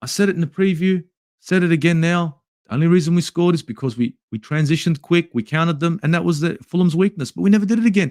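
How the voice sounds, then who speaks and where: A man speaks with an Australian accent in a high pitch. His delivery is very fast. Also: ordinary pitch variation, dry, close sound with no echo. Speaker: football YouTuber. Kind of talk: match review livestream.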